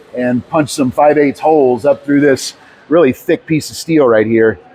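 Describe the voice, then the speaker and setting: A man's fairly high-pitched voice at a fairly quick pace, ordinary pitch variation, over noticeable background noise. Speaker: tiny house builder and video host. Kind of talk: how-to tutorial. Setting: workshop. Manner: loud.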